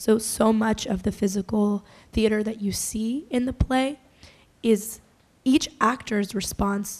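The voice belongs to a woman. It is fairly high and somewhat breathy. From Massachusetts. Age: 20s. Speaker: theatre director. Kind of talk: panel talk.

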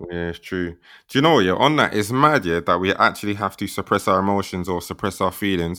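A man's very deep, low voice with a bright, sharp tone, on a very clean recording against a silent background. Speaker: podcast host. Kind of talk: casual chat podcast discussion. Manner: animated, upbeat.

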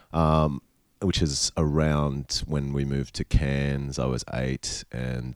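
Speaking with an Australian accent, a man has a very deep, low pitch and fairly even intonation at a fairly slow pace. The sound is dry and close, with no echo. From Queensland, Australia. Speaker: rock musician. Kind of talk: casual chat. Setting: hotel room.

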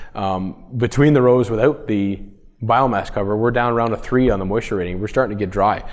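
A fairly low-pitched male voice in a Canadian accent, fairly quick in pace, with ordinary pitch variation. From Ontario, Canada. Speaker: farmer. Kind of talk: presentation. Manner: halting.

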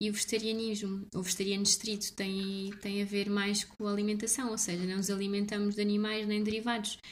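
A woman speaks at a fairly quick pace and medium pitch with monotone, flat intonation. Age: 20s. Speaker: blogger. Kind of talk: casual interview.

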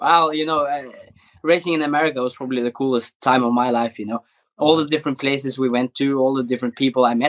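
Talking at a very fast pace, a man with a Norwegian accent keeps his intonation fairly even. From Norway. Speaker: rally driver. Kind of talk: casual interview.

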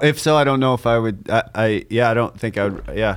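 This man has a plain, everyday voice, talking at a moderate pace with fairly even intonation. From Canada. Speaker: comedian co-host. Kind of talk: casual chat.

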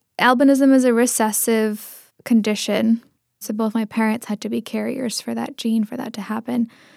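The speaker has a Pacific Northwest accent and monotone, flat intonation. The recording is very clean, with a silent background. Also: woman, dry, close sound with no echo. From Seattle area, Tamil Indian household. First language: Tamil. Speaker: community journalist and poet. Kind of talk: casual interview.

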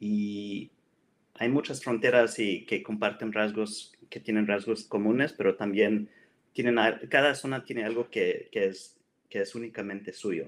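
Man at a fairly low pitch with fairly even intonation, at a fairly slow pace. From Mexico-US border, Piedras Negras area. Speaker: writer and computing professional. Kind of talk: casual interview. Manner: halting, with frequent repetitions.

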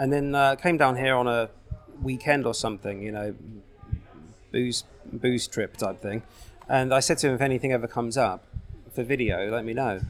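Over music in the background, a man in a southern English accent speaks at a moderate pace and medium pitch, with ordinary pitch variation and long, frequent pauses. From southern England, Berkshire. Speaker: video production company owner. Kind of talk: casual interview. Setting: coffee shop.

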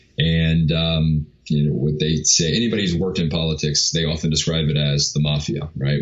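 A man speaks in a very deep, low voice. His pace is moderate. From New York. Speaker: filmmaker and media entrepreneur. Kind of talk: interview conversation. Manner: halting, many fillers.

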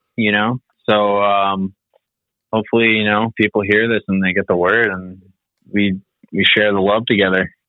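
Talking at a moderate pace, a man has a normal speaking voice with a fairly low pitch. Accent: American. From Finland, then US from about age eight. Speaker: moped builder. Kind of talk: casual chat.

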